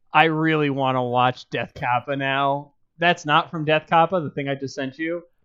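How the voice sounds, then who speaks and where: A quiet background surrounds speech delivered at a moderate pace. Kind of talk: casual chat. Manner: animated.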